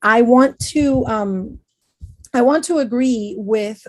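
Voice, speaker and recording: In a Spanish accent, a woman speaks with fairly even intonation. The background is quiet. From Venezuela. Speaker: educator. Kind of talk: panel discussion. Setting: video call.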